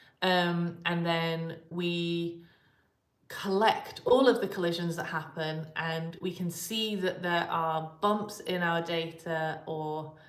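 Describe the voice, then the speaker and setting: Audible room echo surrounds a woman whose fairly low voice keeps a monotone, flat intonation. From England, Coventry. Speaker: particle physicist. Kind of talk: live Q&A stream. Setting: live stream. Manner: hesitant, many fillers.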